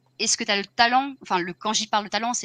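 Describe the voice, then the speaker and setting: Here a woman speaks in a bright, sharp tone. The sound is dry and close, with no echo. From Paris region, France. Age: 30s. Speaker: video game producer. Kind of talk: casual interview.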